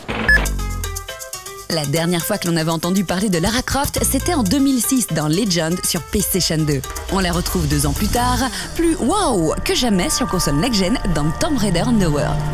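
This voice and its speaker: The speaker talks at a fairly slow pace. Music plays in the background. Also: woman. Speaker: TV voice-over commentator. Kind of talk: TV magazine voice-over narration.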